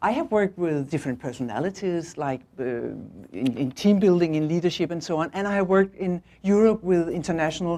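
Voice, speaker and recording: Speaking with a Danish accent, a woman with a fairly low pitch and a dark, mellow tone talks at a fairly quick pace with lively intonation and hardly any pauses against a quiet background. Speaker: management consultant and visiting professor. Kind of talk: lecture. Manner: halting.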